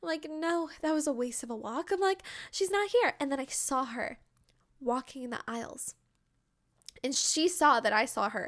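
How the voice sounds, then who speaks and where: On a very clean recording with a silent background, a woman with a high, animated voice and lively intonation speaks at a moderate pace, leaving long, frequent pauses. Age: 20s. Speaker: video game content creator. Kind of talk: casual chat.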